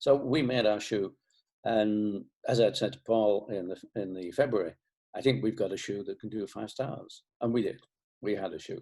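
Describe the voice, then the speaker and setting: In a Lancashire accent, a man with a fairly low pitch and a dark, mellow tone talks at a moderate pace with ordinary pitch variation over a quiet background. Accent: Northern English (Lancashire). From Bolton, England. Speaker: shoe company founder. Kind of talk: interview answer.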